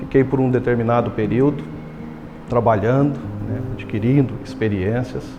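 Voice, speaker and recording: Music plays in the background as a man speaks at a moderate pace and medium pitch, with ordinary pitch variation, long, frequent pauses and audible room echo. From Goiás, Brazil (Sanclerlândia). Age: 40s. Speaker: business executive. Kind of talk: personal life story interview. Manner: halting, with repetitions and fillers.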